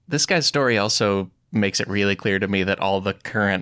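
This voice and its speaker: A man with a fairly low pitch speaks in an American accent. His tone is bright and sharp, and the sound is dry and close with no echo. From Chicago, US Midwest. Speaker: podcast host. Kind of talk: casual chat. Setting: video call.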